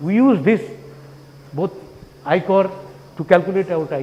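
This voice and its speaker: Against noticeable background noise, a man speaks at a high pitch with lively intonation. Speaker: professor. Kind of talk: conference talk. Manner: fast.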